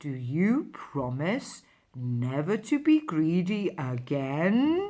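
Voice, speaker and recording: The speaker uses a put-on character voice, pitched in the middle and delivered at a very slow pace. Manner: quiet, calm.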